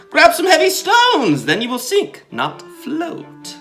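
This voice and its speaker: Putting on a character voice at an extremely high pitch, a man talks fairly slowly over faint music in the background. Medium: read story.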